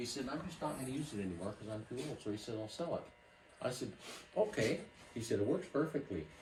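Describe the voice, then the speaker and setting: Very fast speech with long, frequent pauses and very wide pitch swings comes through audible room echo and noticeable background noise. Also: man, medium pitch for a man. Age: 60s. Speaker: classic car collector. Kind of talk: casual chat.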